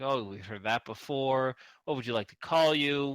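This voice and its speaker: A raspy, put-on character voice from a man of medium pitch, at a moderate pace with big swings in loudness, in a dry, close sound with no echo on a very clean recording with a silent background. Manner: mumbling.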